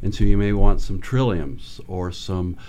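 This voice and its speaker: With audible room echo around him, a man speaks at a moderate pace in a dark, mellow tone with ordinary pitch variation. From Michigan, US Midwest. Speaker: ecologist. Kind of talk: radio interview. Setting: radio studio.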